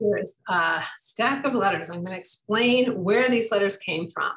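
Over a quiet background, a woman with an American accent speaks with lively intonation. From US Midwest. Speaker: author and historian. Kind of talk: book talk with slideshow. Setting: video call. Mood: warm, storytelling. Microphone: video call.

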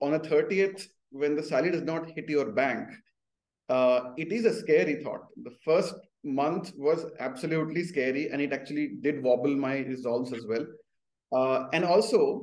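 A man at a moderate pace, with lively intonation. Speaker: remote guest. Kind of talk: interview answer. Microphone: video call.

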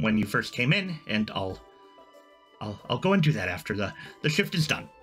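A man's mumbling, put-on character voice at a moderate pace, with faint music in the background. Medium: actual play. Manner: hesitant, awkward, mumbling.

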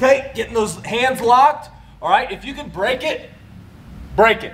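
The man's delivery holds to a moderate pace. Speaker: wrestling coach. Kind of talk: tutorial. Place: gym. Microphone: camera far.

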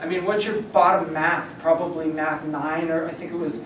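Over light background noise and audible room echo, a man with an American accent talks at a moderate pace. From Southern California, Camarillo; Southern California. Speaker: business owner and former motocross racer; guest. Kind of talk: motivational talk to a student club. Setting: room with live audience. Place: classroom. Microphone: camera far.

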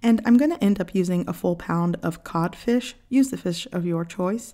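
A woman's dark, mellow tone against a quiet background. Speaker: home cook channel host. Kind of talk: cooking tutorial narration. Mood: warm, friendly. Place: kitchen.

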